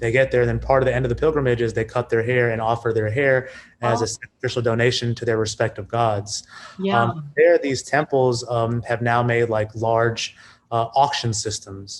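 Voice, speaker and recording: With an American accent, a man speaks at a moderate pace in a somewhat breathy voice of medium pitch. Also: fairly even intonation. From New York City, USA. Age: 30s. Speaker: businessman. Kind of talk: podcast interview answer. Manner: casual, conversational.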